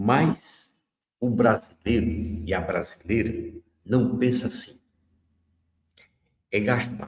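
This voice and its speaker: At a very slow pace, a man speaks with long, frequent pauses. His voice is somewhat breathy, at a medium pitch with ordinary pitch variation. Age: 70s. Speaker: radio host. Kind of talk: radio commentary. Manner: conversational.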